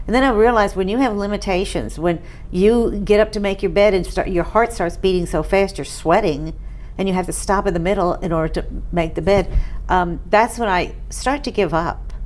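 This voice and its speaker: Audible room echo surrounds a woman speaking at a fairly quick pace in an American accent. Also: medium pitch for a woman, ordinary pitch variation. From New York, Catskill Mountains. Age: 70s. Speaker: patient. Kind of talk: testimony. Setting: interview on camera.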